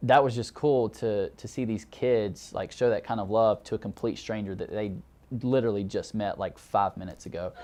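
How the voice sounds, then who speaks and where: With a Southern US accent, a man talks at a moderate pace in a medium-pitched voice that has a dark, mellow tone and fairly even intonation. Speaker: graduate student. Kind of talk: personal testimony interview.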